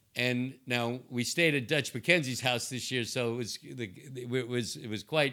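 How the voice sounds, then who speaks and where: A man speaks at a medium pitch and moderate pace with a bright, sharp tone. The recording is very clean, with a silent background. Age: 60s. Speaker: investment banker. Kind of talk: interview conversation. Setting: his office.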